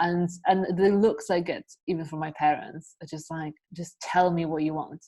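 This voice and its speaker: With a Polish accent, a woman speaks at fairly low pitch. Her pace is moderate and her intonation fairly even. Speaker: podcast host. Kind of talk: casual chat.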